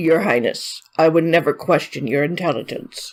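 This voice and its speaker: A woman puts on a raspy character voice at a fairly low pitch. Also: moderate pace, ordinary pitch variation. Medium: read story. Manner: respectful, earnest.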